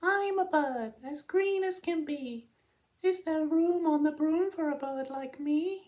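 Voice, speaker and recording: In a put-on character voice, someone speaks at a high, squeaky pitch and a fairly slow pace. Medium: read story.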